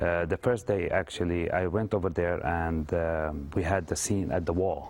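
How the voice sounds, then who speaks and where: With an Arabic accent, a man talks at a moderate pace in a very deep, low pitch, keeping very even loudness and fairly even intonation. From Lebanon. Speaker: actor. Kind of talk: TV interview. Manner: halting, many fillers.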